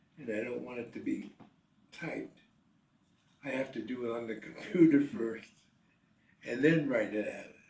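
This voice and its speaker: A man talks with vocal fry and ordinary pitch variation, leaving long, frequent pauses. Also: medium pitch for a man, moderate pace, big swings in loudness. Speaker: retired businessman and writer. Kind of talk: interview answer. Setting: home.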